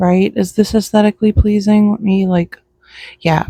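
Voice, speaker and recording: Quiet and somewhat breathy, a woman's voice has a dark, mellow tone and a dry, close sound with no echo. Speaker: vlogger. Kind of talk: casual chat. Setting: outdoors.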